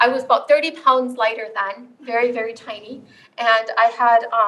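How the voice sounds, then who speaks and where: A woman speaks in a raised, projected voice at a fairly quick pace. She has a high pitch and a Southeast Asian accent. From Saint Paul, Minnesota (Hmong family, born in Laos). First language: Hmong. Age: 40s. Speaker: author and storyteller. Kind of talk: storytelling talk. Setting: campus event with live audience.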